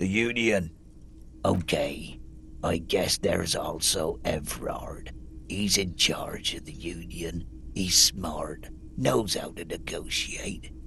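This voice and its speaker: In a put-on character voice, a man speaks very slowly at a very deep, low pitch. The voice is raspy, and clear background noise can be heard. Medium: video game. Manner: curt, unfriendly.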